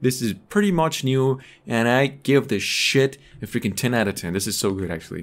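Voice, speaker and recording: The pace here is moderate. It is a man who talks. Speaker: gaming streamer. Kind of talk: casual gameplay commentary.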